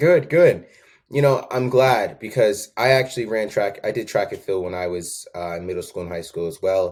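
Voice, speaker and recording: In a very clean recording with a silent background, a man with an American accent uses an ordinary speaking voice at medium pitch, lively intonation and a moderate pace. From Connecticut (Danbury). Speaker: podcast host, former track coach. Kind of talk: interview.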